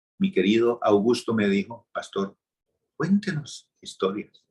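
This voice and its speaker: A man's somewhat breathy voice at a medium pitch, fairly slow in pace, with very wide pitch swings. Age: 60s. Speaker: pastor. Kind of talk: sermon.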